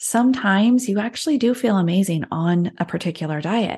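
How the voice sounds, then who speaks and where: Her voice is medium-pitched and somewhat breathy, with very wide pitch swings. The woman keeps a moderate pace against a quiet background. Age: 40s. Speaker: health and weight loss coach. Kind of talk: interview conversation.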